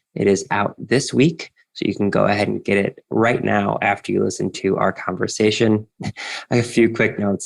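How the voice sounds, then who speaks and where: A man's fairly low voice with vocal fry, ordinary pitch variation, and a moderate pace. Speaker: podcast host. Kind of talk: podcast intro.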